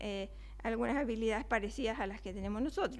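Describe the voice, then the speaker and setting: A woman is speaking. She has a Chilean accent. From Chile (Valparaíso). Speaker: neuroscience researcher, invited speaker. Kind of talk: lecture. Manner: fast.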